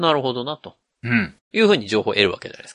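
A man speaks with very wide pitch swings. The background is quiet, and the sound is dry and close with no echo. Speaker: podcast host. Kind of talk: casual chat.

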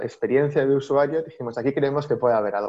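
Fairly high-pitched and with fairly even intonation, a man speaks in a plain, everyday voice. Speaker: data executive. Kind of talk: interview.

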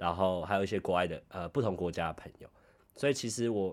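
A man with an ordinary speaking voice talks at a fairly quick pace, his pitch fairly low with ordinary variation, on a very clean recording with a silent background. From Taiwan. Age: 20s. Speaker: podcast host, office worker in Japan. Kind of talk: casual chat.

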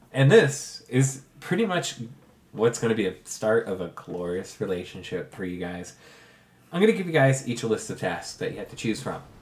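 Moderate pace from a man at a medium pitch with very wide pitch swings, amid noticeable background noise. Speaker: game master running tabletop RPG. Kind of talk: tabletop RPG session with narration. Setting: in person around a table.

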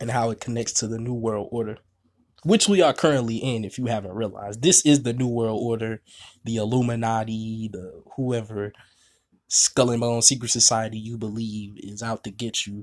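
A man's normal speaking voice at medium pitch and moderate pace, fairly even in intonation but with big swings in loudness, on a very clean recording with a silent background. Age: 20s. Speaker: spiritual podcast host. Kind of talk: monologue podcast on spirituality. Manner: casual, frequent filler words.

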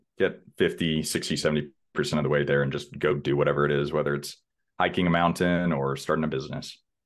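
Speaking in a very deep, low pitch, a man talks very fast with an American accent. His intonation stays fairly even. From Texas, Houston. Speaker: real estate investor. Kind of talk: interview.

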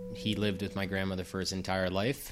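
In a New England accent, a man speaks in a fairly low pitch with monotone, flat intonation on a very clean recording with a silent background. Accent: New England American. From Massachusetts. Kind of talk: testimony.

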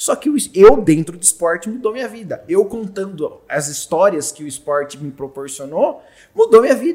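The man's voice is high-pitched for a man. It has very wide pitch swings and big swings in loudness. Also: moderate pace. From Brazil, Jundiaí (São Paulo state). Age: 30s. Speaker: audiovisual producer. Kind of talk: casual chat.

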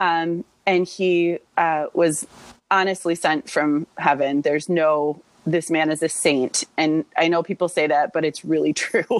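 A woman with a fairly low pitch speaks at a fairly slow pace in an unremarkable speaking voice, with fairly even intonation. Her loudness stays very even, and the sound is dry and close with no echo. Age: 30s. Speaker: assistant principal. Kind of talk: interview.

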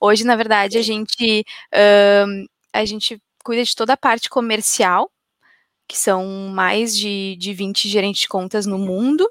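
A woman speaks fairly slowly in an ordinary speaking voice, fairly high-pitched with fairly even intonation. The sound is dry and close with no echo. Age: 30s. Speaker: marketing software executive. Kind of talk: interview on a business live stream.

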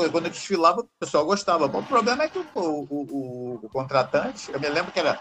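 A man speaks in a high pitch with very wide pitch swings. Background noise is noticeable. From Brazil, Rio de Janeiro. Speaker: physical education teacher and video app creator. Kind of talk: casual chat. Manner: halting.

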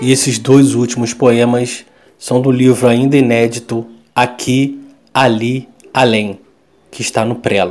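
A man's medium-pitched, flat, monotone delivery at a fairly slow pace, broken by long, frequent pauses. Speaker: podcast host. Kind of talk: scripted intro.

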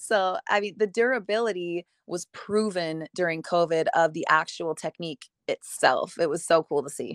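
Recorded very cleanly against a silent background, a woman with an ordinary speaking voice uses a fairly low pitch and ordinary pitch variation. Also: moderate pace. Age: 30s. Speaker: hair extension educator and company founder. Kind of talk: casual interview.

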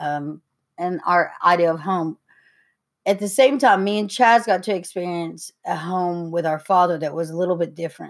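A woman with an Appalachian accent, fairly low in pitch with ordinary pitch variation, at a moderate pace in a very clean recording with a silent background. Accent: Appalachian Southern US. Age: 30s. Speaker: podcast co-host. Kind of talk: casual chat.

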